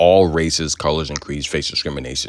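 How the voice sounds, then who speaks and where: An animated man talks at a very fast pace. His pitch is very deep and low, with vocal fry. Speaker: sports commentary host. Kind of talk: sports news commentary.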